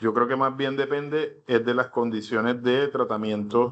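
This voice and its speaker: This man's voice sits at a medium pitch with monotone, flat intonation. He talks at a moderate pace. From Colombia, Caribbean coast (Cartagena). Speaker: instructor. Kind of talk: online class lecture. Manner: halting, many fillers.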